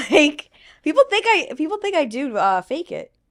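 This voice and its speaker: A woman's pitch swings very widely in a very clean recording with a silent background. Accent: strong Long Island. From US Northeast, Long Island, New York. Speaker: social media personality, podcast host. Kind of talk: casual interview chat. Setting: podcast recording in New York City.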